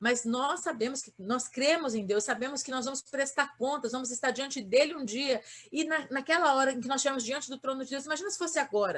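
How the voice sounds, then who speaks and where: A woman speaks at a fairly quick pace with a high pitch. Her pitch variation is ordinary. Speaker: pastor. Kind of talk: sermon. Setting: online livestream. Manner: fast.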